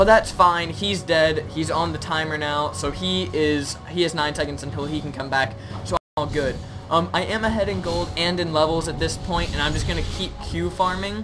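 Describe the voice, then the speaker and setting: Someone talks at a moderate pace while music plays in the background. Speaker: gaming youtuber. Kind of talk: gameplay commentary. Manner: stuttering, many filler ums.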